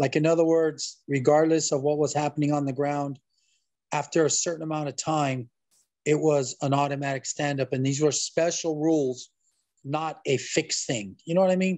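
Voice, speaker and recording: This man has an unremarkable speaking voice, fairly high in pitch, with fairly even intonation at a moderate pace. The sound is dry with no echo, and the background is quiet. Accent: American. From Southern California. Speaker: MMA referee and high school wrestling coach; high school wrestling coach. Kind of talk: interview. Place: home room. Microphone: video call.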